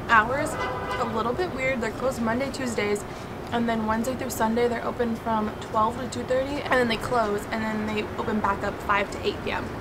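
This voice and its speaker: Loud background noise surrounds a woman who speaks at a fairly quick pace. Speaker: food reviewer. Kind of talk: casual vlog chat. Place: street. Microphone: camera far.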